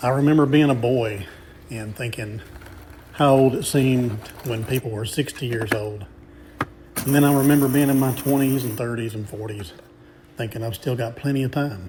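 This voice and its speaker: With long, frequent pauses and a Texan accent, a man speaks at medium pitch with ordinary pitch variation over noticeable background noise. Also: moderate pace. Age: 50s. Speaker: RV park host. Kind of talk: personal reflection.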